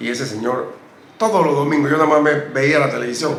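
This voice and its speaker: A man with a fairly high pitch and fairly even intonation is heard with audible room echo and noticeable background noise. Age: 70s. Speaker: retired basketball player. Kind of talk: interview.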